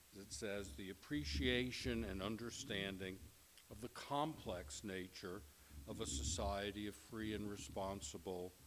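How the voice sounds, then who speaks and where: A man with an American accent, fairly slow pace and lively intonation, with audible room echo. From New York. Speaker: professor. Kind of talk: lecture. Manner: formal.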